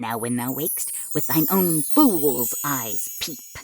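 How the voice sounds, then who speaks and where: A woman performs a put-on character voice pitched very deep and low. She speaks at a fairly slow pace. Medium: read story.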